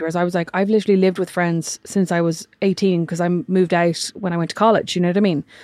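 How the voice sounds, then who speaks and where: In an Irish accent, a woman talks at a very fast pace. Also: dry, close sound with no echo, very clean recording, silent background. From Ireland. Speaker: podcast host. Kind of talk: casual chat.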